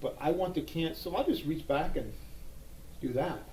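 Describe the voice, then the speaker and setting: A man with a dark, mellow tone speaks at a moderate pace with ordinary pitch variation, and audible room echo surrounds his voice. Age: 60s. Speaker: gun holster reviewer. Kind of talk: casual product review. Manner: halting, with fillers.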